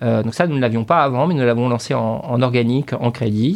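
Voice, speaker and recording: Using ordinary pitch variation, a man talks at a medium pitch and a fairly quick pace. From northern France, Dunkirk area. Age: 40s. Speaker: CEO of a mortgage broker. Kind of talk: interview. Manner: halting, many repetitions.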